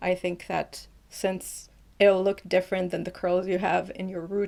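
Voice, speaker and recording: A woman's medium-pitched voice at a moderate pace, in a monotone with flat intonation. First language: not English. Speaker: beauty YouTuber. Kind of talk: tutorial; scripted voiceover. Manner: casual, chatty.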